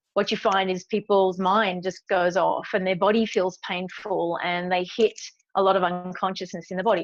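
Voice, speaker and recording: A woman with an Australian accent talks at a fairly quick pace and medium pitch, her intonation monotone and flat. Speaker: meditation teacher and speaker. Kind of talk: interview.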